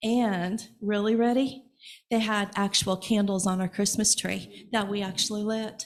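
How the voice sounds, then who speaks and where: On a very clean recording with a silent background, a woman with an American accent speaks somewhat breathily at medium pitch and a fairly slow pace. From Evansville, Indiana. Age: 60s. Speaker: congregation member. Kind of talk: personal sharing in church service. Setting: church.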